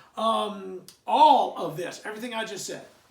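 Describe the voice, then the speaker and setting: A man speaks in a room with audible echo. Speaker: history teacher. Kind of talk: lecture. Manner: fast; halting, many fillers.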